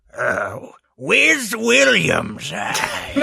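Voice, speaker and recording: A put-on character voice is being used here. Its sound is raspy. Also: man. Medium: actual play.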